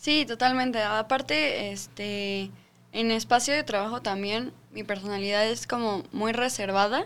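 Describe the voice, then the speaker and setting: A woman's plain, everyday voice, fairly high in pitch, with ordinary pitch variation and a fairly slow pace. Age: 20s. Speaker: real estate sales manager. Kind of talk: casual chat.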